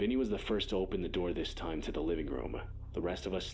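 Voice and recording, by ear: Someone is reading aloud in a natural voice. The delivery sounds like reading aloud in a natural voice.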